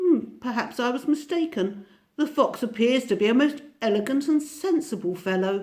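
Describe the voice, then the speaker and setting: A female-sounding voice, high-pitched and croaky, does a put-on character voice at a moderate pace. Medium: read story.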